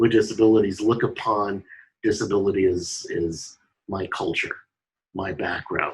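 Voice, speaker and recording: Somewhat breathy and fairly low, this man's voice holds fairly even intonation at a moderate speed. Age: 60s. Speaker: filmmaker. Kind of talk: panel discussion. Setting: video call from home office.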